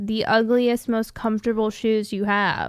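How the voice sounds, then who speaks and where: A woman with an American accent talks at a fairly slow pace. She has a normal speaking voice with a fairly high pitch. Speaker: podcast co-host. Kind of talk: casual chat. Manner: chatty, laughs a lot.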